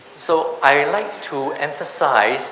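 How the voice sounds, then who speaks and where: A man speaks with lively intonation amid noticeable background noise and audible room echo. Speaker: tax seminar speaker. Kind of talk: seminar presentation.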